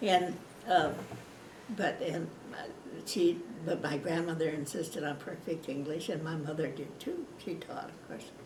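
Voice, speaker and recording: A woman with an American accent speaks at a fairly low pitch and a fairly slow pace. Her pitch varies in an ordinary way, with noticeable background noise behind her. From Washington state, USA. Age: 80s+. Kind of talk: oral history interview. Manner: hesitant, casual.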